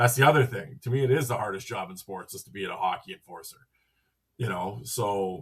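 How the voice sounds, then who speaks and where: A man with a Canadian Prairies accent talks at a fairly quick pace and fairly low pitch. His voice is somewhat breathy, with ordinary pitch variation and big swings in loudness. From Western Canada, Saskatchewan. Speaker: hockey podcaster. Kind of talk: casual chat.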